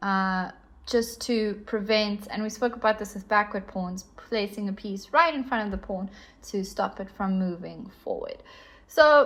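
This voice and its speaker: This woman talks at a moderate pace in a South African accent, with a medium pitch and ordinary pitch variation. Her voice sounds somewhat breathy. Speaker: chess teacher. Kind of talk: tutorial.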